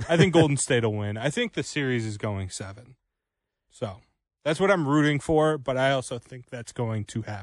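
An ordinary speaking voice at a moderate pace shows ordinary pitch variation and big swings in loudness against a quiet background. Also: man. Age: 20s. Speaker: radio producer and co-host. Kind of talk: radio sports talk show.

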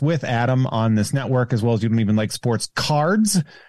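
With an American accent and an ordinary speaking voice, a man talks fairly quickly with lively intonation in a dry, close sound with no echo. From Central Massachusetts. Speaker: podcaster and comedian. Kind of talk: casual chat.

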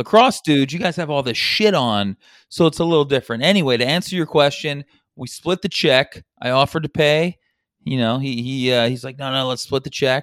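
A man with an ordinary speaking voice, fairly high pitch, ordinary pitch variation and a fairly quick pace, dry and close with no echo on a very clean recording with a silent background. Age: 40s. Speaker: sports betting podcast co-host. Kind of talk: casual chat.

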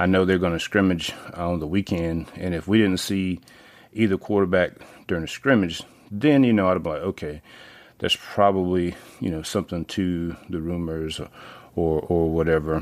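On a very clean recording with a silent background, a man speaks with a very deep, low pitch. He has a Southern US accent, a moderate pace and ordinary pitch variation. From North Carolina small town. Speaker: sports podcast host. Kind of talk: casual monologue. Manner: hesitant with many fillers.

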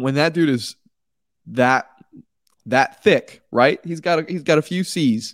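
Over a silent background on a very clean recording, a man speaks at a moderate pace. The sound is dry and close with no echo, and his pitch variation is ordinary. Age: 20s. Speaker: baseball podcast host. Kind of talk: solo sports podcast commentary.

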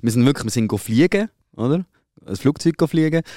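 Very cleanly recorded against a silent background, a man speaks in a dark, mellow tone with ordinary pitch variation and a dry, close sound with no echo. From Switzerland. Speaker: podcast host. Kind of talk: casual chat.

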